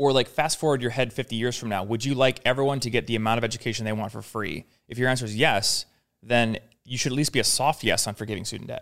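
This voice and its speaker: The recording is very clean, with a silent background. A man talks very fast at a medium pitch, his intonation fairly even. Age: 30s. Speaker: productivity YouTuber. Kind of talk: casual chat. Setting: studio.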